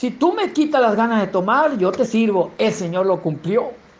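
A man's pitch swings very widely as he speaks at a moderate speed. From Mexico, Sinaloa (rural sierra). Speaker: lay preacher giving testimony. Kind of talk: testimony and sermon.

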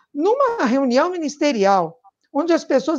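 A woman speaks at a moderate pace. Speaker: political activist. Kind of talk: live-streamed political panel chat. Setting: live stream.

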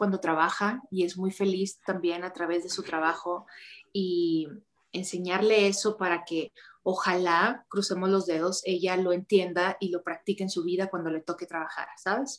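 At a medium pitch, a woman speaks fairly slowly in a flat monotone. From Mexico, Ciudad Juárez. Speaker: actress and model. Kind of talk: casual interview.

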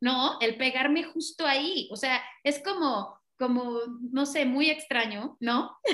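At a very slow pace, a woman speaks in a high, bright, sharp voice with very even loudness and ordinary pitch variation. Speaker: racing driver and team manager. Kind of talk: casual interview chat.

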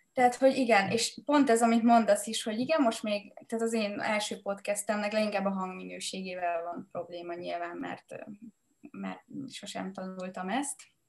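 In a normal speaking voice, a woman speaks at a medium pitch and a moderate pace, with ordinary pitch variation and big swings in loudness. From Hungary, Mátraalja village. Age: 30s. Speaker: entrepreneur and podcaster. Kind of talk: casual chat.

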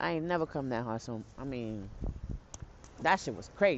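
A woman with an American accent speaks at a moderate pace in an animated tone. Her pitch swings very widely over noticeable background noise. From New York City, the Bronx. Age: 30s. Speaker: podcaster. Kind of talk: casual vlog-style monologue. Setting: outdoors, walking to and waiting at bus stop. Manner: animated, laughing often.

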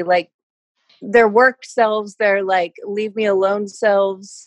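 At a fairly high pitch and a fairly slow pace, a woman speaks in a plain, everyday voice, recorded dry and close with no echo. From Canada. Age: 20s. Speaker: personal trainer. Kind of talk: casual chat. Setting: video call.

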